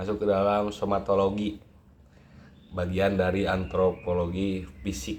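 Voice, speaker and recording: At a very slow pace, a man speaks in a very deep, low voice with fairly even intonation. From Indonesia, West Java (Bandung). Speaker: university student. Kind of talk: class assignment presentation. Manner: casual, with fillers and hesitations.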